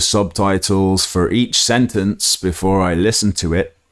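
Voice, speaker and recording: Very deep and low, a man's voice comes with an English accent on a very clean recording with a silent background. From England. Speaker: podcast host, English teacher. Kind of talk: educational podcast monologue. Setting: solo recording with microphone. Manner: hesitant, many fillers; slightly stiff.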